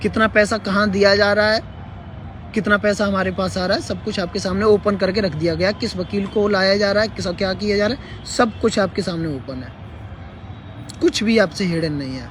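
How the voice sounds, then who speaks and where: A man's high voice at a moderate pace, with ordinary pitch variation over noticeable background noise. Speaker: teacher-candidate group leader, live streamer. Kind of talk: live stream update. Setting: livestream. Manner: hesitant with fillers.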